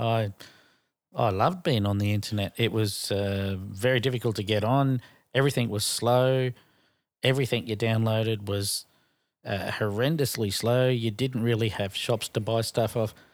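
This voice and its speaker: A medium-pitched man with an Australian accent at a moderate pace and fairly even intonation, on a very clean recording with a silent background. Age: 40s. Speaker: podcast co-host. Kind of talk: casual chat.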